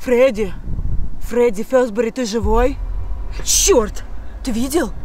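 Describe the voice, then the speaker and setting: A woman speaks at a very slow pace. The sound is dry with no echo, and there is light background noise. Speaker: video blogger. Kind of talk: casual unboxing vlog chat. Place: tent. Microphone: phone near.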